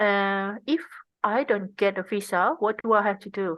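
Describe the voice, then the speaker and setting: At a moderate pace, a woman with an Indonesian accent speaks at a medium pitch with fairly even intonation. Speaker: tech design researcher. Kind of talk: interview conversation. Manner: halting.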